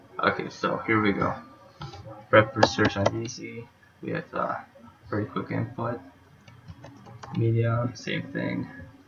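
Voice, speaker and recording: A man at a fairly slow pace, with big swings in loudness, long, frequent pauses and noticeable background noise. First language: not English. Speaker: university student. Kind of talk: class presentation, code walkthrough.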